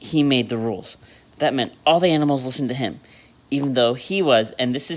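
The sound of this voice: The recording presents an unforced reading voice with ordinary pitch variation.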